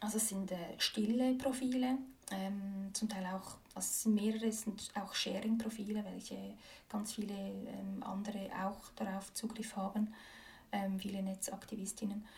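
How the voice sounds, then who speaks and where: The speech comes at a moderate pace in a monotone, flat intonation, somewhat breathy, with audible room echo around it. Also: woman, medium pitch for a woman. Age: 30s. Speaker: activist, former politician. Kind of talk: interview. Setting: her office. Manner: hesitant, many fillers.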